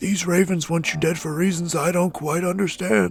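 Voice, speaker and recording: A man speaks at a moderate pace in a put-on character voice pitched high. Faint music plays in the background. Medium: audio drama. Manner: folksy, fatherly.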